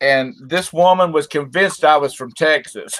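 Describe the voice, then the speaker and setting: Captured on a very clean recording with a silent background, a man with a Southern US accent speaks at a fairly high pitch and a fairly slow pace. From South Carolina (Rock Hill). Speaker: reseller. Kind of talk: casual chat.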